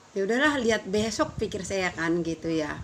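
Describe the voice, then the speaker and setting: Over noticeable background noise, a woman speaks at a moderate pace with medium pitch and ordinary pitch variation. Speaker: vlogger. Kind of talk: casual vlog chat.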